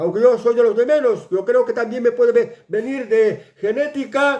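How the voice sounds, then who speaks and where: The man speaks with an extremely high-pitched voice. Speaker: news commentator. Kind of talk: news commentary. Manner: halting.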